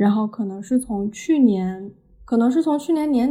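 A woman with a fairly high pitch and a dark, mellow tone speaks somewhat breathily at a moderate pace, using ordinary pitch variation. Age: 20s. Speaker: podcast host and media student. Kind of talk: solo podcast monologue.

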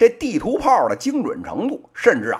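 Speaking at a moderate pace, a man uses an animated tone in a strong Beijing accent. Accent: strong Beijing accent with heavy erhua. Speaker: podcast host, business commentator. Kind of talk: opinion commentary. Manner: animated, colloquial Beijing storytelling.

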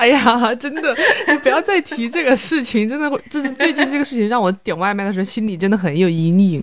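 High-pitched for a woman, she speaks at a fairly quick pace with very wide pitch swings over noticeable background noise. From Chongqing, China. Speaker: podcast co-host, lawyer. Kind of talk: casual chat.

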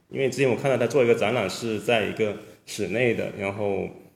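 Male speech, fairly even in intonation, with noticeable echo from the room. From Guangdong. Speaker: sculptor and artist. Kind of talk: casual chat.

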